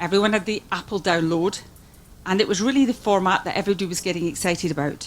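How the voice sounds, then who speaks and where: A woman with a Scottish accent talks at a very fast pace in a medium pitch while music plays in the background. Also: ordinary pitch variation. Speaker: music industry executive. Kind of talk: conference speech. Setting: conference forum with interpreters.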